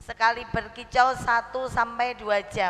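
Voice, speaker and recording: Against noticeable background noise, a woman speaks at a fairly slow pace in a monotone, flat intonation. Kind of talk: sermon. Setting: religious gathering with audience.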